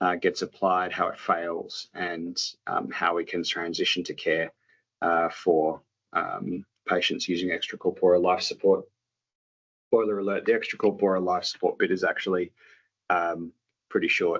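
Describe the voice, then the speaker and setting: Speaking with an Australian accent, a man keeps a moderate pace but takes long, frequent pauses. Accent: Australian, noticeable. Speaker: doctor. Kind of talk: lecture. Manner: halting, many fillers.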